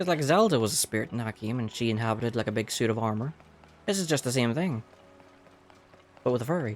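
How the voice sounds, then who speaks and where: A man with a medium-pitched voice talks very fast and quietly over background music, his intonation lively and broken by long, frequent pauses. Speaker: gaming streamer. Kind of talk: let's play commentary.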